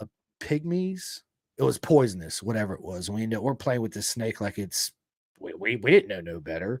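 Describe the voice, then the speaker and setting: A man with a Southern accent speaks at a fairly low pitch. The recording is very clean and dry, close with no echo, over a silent background. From Florida. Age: 40s. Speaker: podcast host. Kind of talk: casual chat. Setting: live podcast.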